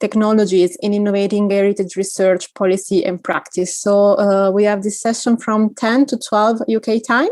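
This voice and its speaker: Speaking in an Italian accent, a woman has a dark, mellow tone at fairly high pitch. Her pace is moderate, with ordinary pitch variation. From Italy. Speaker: conference organiser. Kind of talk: closing remarks at online conference.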